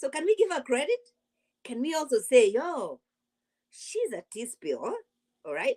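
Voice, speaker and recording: Very wide pitch swings mark an animated voice with an African accent, moving at a fairly quick pace in a dry, close recording with no echo. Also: woman. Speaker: YouTube reality TV commentator. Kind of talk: live stream commentary. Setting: livestream.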